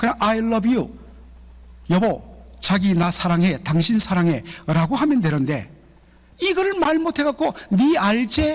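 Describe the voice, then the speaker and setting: A man's high-pitched voice, very slow, with very wide pitch swings, long and frequent pauses, and very even loudness. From Gyeongsang region, South Korea. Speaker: pastor. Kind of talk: sermon. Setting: church.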